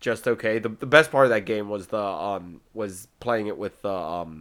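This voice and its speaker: The recording is very clean, and the background is silent. It is a normal speaking voice with ordinary pitch variation. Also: man. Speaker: podcast host. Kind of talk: casual chat.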